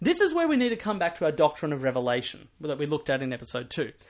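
A man at a very fast pace with very wide pitch swings, on a very clean recording with a silent background. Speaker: podcast host and Bible teacher. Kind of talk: Bible teaching podcast. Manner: many fillers like uh and um.

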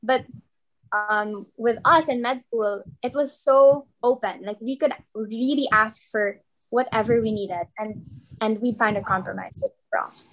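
Speaking at a fairly slow pace, a woman with a fairly high pitch and ordinary pitch variation shows big swings in loudness. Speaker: medical student. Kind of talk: casual interview. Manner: hesitant, many fillers.

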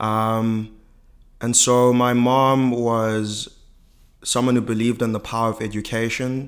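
A man's medium-pitched voice, monotone and flat in intonation, at a fairly slow pace. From South Africa, inner-city Johannesburg. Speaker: business school student. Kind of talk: interview.

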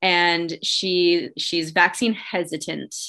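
The voice has a bright, sharp tone and a Canadian accent. Its intonation stays monotone and flat. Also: woman. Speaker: nurse and podcast host. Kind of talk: casual chat.

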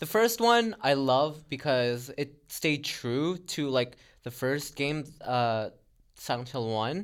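Very slowly and with lively intonation, a fairly high-pitched man speaks on a very clean recording with a silent background. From Philippines. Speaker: podcast co-host. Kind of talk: casual chat.

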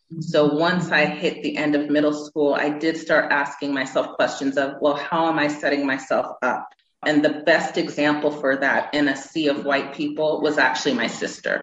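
A woman with an American accent speaks at a moderate pace in a very deep, low pitch with monotone, flat intonation. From Massachusetts, US. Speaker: writer and journalist. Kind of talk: interview. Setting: video call.

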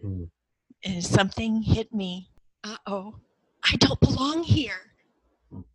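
A woman at medium pitch, somewhat breathy, at a very slow pace with long, frequent pauses, lively intonation and big swings in loudness, in a dry, close sound with no echo. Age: 50s. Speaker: cross-cultural mentor and former missionary. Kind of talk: personal testimony in an interview.

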